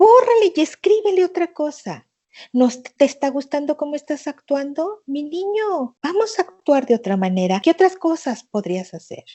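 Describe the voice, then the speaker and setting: A woman with a high pitch and a warm, animated tone talks at a moderate pace, her voice making very wide pitch swings. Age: 60s. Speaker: thanatologist and therapist. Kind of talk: interview conversation.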